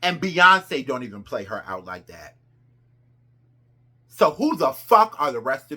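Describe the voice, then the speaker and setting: A woman speaks with a bright, sharp tone and vocal fry. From New Jersey. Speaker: pop culture commentator. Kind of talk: casual commentary vlog. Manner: animated.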